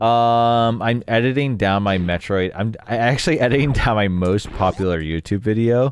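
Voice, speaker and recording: A man talks at a moderate pace with hardly any pauses, very even loudness and ordinary pitch variation, in a normal speaking voice. The recording is very clean, with a silent background. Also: medium pitch for a man. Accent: American. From Vermont, US. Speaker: video game streamer. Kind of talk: casual live-stream chat. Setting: live stream. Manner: casual, filler-heavy.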